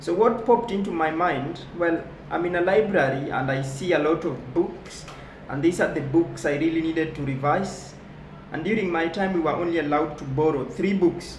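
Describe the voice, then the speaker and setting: Over noticeable background noise and audible room echo, a man talks in a high voice at a moderate pace with ordinary pitch variation. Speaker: motivational speaker. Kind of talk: motivational talk.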